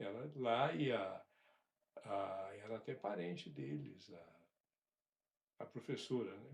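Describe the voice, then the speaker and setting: Somewhat breathy, a man talks at a very slow pace and fairly low pitch, with very wide pitch swings, big swings in loudness and long, frequent pauses. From rural Brazil. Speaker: father telling family stories. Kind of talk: casual interview. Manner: halting.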